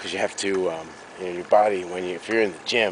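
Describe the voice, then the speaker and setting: Over noticeable background noise, a man with a very deep, low pitch talks at a fairly quick pace with fairly even intonation. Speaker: actor vlogging workout training. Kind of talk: outdoor vlog. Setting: outdoors in snowy woods. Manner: hesitant, many fillers; whispering.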